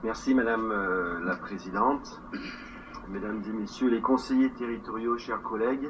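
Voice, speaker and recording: A man speaks with fairly even intonation. Noticeable background noise and audible room echo fill the recording. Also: medium pitch for a man. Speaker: territorial councillor and parliamentarian. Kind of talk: formal council speech. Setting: council chamber session. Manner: hesitant.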